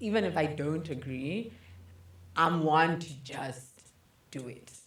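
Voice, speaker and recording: A woman's very deep, low voice with ordinary pitch variation, at a very slow pace, big swings in loudness and audible room echo. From Zimbabwe. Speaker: podcast co-host. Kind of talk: casual chat. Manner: expressive.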